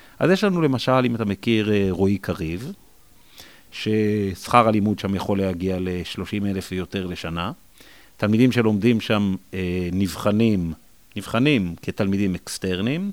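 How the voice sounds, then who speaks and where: A man speaks in a normal speaking voice at a fairly low pitch. His pace is fairly slow, with ordinary pitch variation. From Israel, Jerusalem. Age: 40s. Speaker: school principal. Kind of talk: interview conversation.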